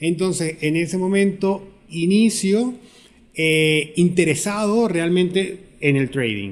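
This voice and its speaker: Speaking very slowly, the man uses a high voice. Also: ordinary pitch variation. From Venezuela. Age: 30s. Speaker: fintech businessman. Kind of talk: interview. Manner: halting.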